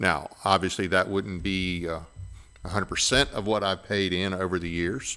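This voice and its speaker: Here is a man with a very deep, low pitch and a bright, sharp tone. His pace is moderate. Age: 60s. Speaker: podcast host, veteran. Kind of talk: interview.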